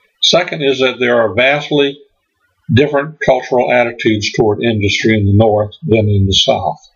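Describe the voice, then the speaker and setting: A man talks at a moderate pace with medium pitch and ordinary pitch variation. His voice is somewhat breathy, and its loudness stays very even. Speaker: history presenter. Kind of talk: lecture. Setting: stage with audience. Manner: uses frequent filler words.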